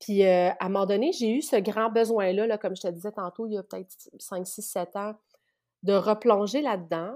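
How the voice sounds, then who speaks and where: This woman's medium-pitched voice has a dark, mellow tone, moving at a moderate pace with big swings in loudness. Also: ordinary pitch variation. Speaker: spiritual practitioner. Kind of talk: casual interview.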